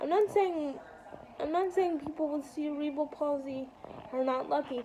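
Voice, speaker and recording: Over noticeable background noise, a woman speaks at a high pitch. Her pace is moderate and her pitch variation ordinary. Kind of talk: casual vlog monologue. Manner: halting.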